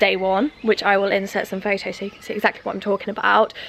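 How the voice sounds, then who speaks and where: Noticeable background noise surrounds a woman's voice. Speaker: home vlogger and personal trainer. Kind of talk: casual vlog. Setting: outdoors in garden. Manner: speaking quietly.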